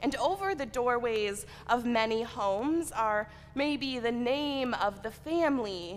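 A woman with a high voice speaks very slowly. Light background noise sits behind her. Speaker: preacher. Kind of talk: sermon. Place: church.

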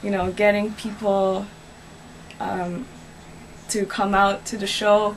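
A woman speaks at a very slow pace in a monotone with flat intonation. There is light background noise. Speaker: interviewee. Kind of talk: interview answer. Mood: earnest, slightly aggrieved. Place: home room. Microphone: camera far.

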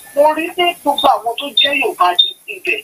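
A man speaks at an extremely high pitch. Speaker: caller, pastor. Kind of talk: call-in comment. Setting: phone call. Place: home room.

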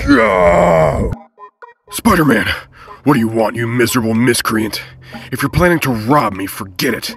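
Using a put-on character voice at medium pitch, a man moves at a moderate pace with long, frequent pauses. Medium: dub. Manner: shouting, blustery.

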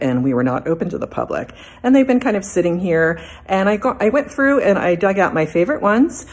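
Her pitch swings very widely. The woman speaks at a fairly quick pace. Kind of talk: casual vlog chat. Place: hall. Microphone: phone near.

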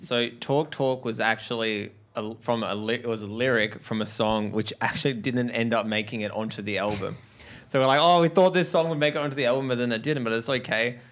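Fairly quick man with an Australian accent and ordinary pitch variation. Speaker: rock band member. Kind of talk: casual interview. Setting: studio. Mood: relaxed, amused. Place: studio. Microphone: handheld.

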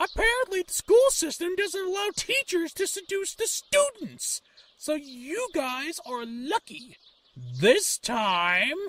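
An extremely high pitch with very wide swings, delivered at a fairly slow pace. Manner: mock-sultry, menacing.

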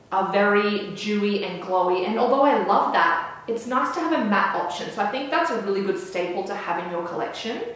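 A woman talks at a fairly quick pace with hardly any pauses, her voice carrying strong room echo. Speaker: beauty vlogger. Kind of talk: casual vlog chat. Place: home room.

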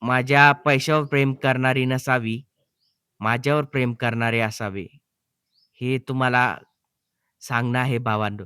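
A man talks at a medium pitch with fairly even intonation. The tone is bright and sharp, and the sound is dry and close with no echo. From Maharashtra, Jalna district. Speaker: YouTuber. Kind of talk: vlog talking to viewers.

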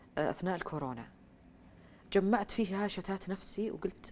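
A woman talks at a medium pitch. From Saudi Arabia, Riyadh. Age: 30s. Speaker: writer; interview guest. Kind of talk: interview. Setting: studio. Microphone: lapel.

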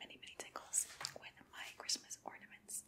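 Whispering at a moderate pace, a woman speaks. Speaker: ASMR creator. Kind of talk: ASMR whispered show-and-tell. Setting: home, close-up microphone. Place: home room.

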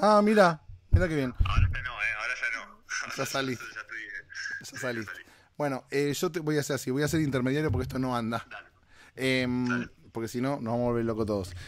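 A man with a Rioplatense accent, medium pitch, lively intonation and a very fast pace. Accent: Argentine Rioplatense Spanish. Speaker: podcast host. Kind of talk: casual monologue. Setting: travelling, recording in Miami. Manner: animated.

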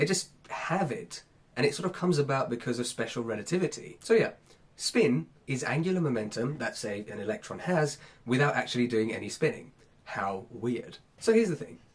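A man with a fairly high pitch speaks at a fairly quick pace, his voice somewhat breathy and his pitch swinging very widely. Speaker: science educator youtuber. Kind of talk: unscripted explainer video. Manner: casual, conversational.

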